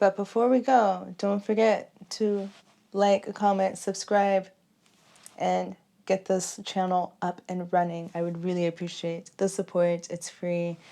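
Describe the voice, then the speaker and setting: A woman's medium-pitched voice with an American accent, fairly even intonation, a fairly slow pace and a dark, mellow tone. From Texas. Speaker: nightlife vlogger. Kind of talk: casual vlog chat. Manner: chatty, rambling casual.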